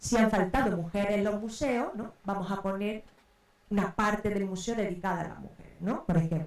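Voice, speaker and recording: A woman talks at a moderate pace in a medium-pitched voice with vocal fry. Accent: Andalusian. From Córdoba, Andalusia, Spain. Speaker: researcher. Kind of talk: round table talk. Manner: hesitant, many fillers.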